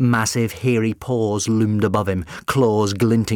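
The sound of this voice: The reading comes in an unforced voice.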